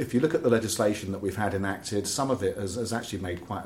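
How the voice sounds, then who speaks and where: There is audible room echo as a man speaks in a southern English accent. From southern England, Oxford. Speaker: environmental campaigner. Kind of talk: interview conversation. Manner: halting, repeats words.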